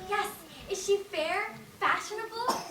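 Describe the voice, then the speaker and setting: An extremely high, put-on character voice speaks at a moderate pace. Clear background noise and a slight echo are present. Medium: stage play. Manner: sassy, campy.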